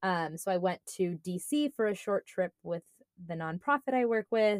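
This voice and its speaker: With lively intonation and a moderate pace, a woman speaks at medium pitch in an unremarkable speaking voice, the sound dry and close with no echo. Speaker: podcast co-host and medical school applicant. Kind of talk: casual chat.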